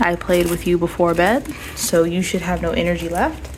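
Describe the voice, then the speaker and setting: A woman at medium pitch and moderate pace, with noticeable background noise. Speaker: pet owner vlogger. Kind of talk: casual vlog narration.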